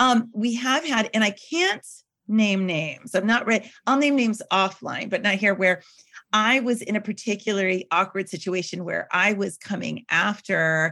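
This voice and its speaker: A bright, sharp tone with ordinary pitch variation. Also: woman. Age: 40s. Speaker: wedding PR consultant. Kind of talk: casual chat.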